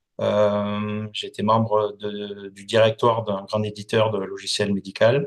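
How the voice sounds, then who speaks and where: With a southern French accent, a man speaks very slowly at a fairly low pitch in a monotone, flat way, with hardly any pauses and big swings in loudness. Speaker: company founder and association president. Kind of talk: interview. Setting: podcast. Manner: hesitant, many fillers.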